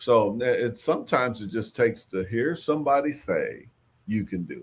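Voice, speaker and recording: The speaker's pitch swings very widely at a moderate pace. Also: man. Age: 60s. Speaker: farmer and agriculture trainer. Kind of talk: livestream talk.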